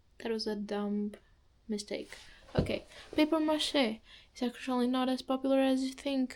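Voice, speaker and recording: A woman with a non-native accent speaks at a fairly slow pace in a high pitch. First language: not English. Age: young. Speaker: student vlogger. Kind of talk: casual vlog monologue. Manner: halting, many fillers and restarts.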